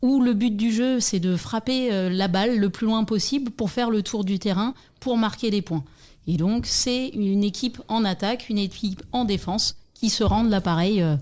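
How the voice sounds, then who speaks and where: In an ordinary speaking voice, a woman talks at a moderate pace with fairly high pitch, ordinary pitch variation and very even loudness. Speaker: softball coach and club secretary. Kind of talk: interview.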